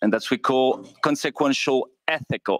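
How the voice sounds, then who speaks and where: A man with a French accent speaks at a moderate pace. The sound is dry and close with no echo, and the recording is very clean against a silent background. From France. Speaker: intensive care doctor. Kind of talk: conference presentation. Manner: halting, many fillers.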